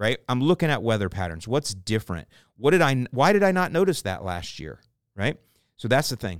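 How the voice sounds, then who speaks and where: A man with an American accent speaks at a fairly quick pace in a medium pitch, with vocal fry and very wide pitch swings, on a very clean recording with a silent background and a dry, close sound with no echo. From US South, St. Petersburg, Florida. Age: 50s. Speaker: lawn care podcast host. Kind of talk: casual Q&A chat.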